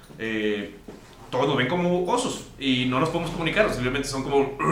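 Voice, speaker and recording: A man talks at a very fast pace with a fairly high pitch for a man. Audible room echo and noticeable background noise surround his voice. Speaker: podcast host. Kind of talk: casual chat.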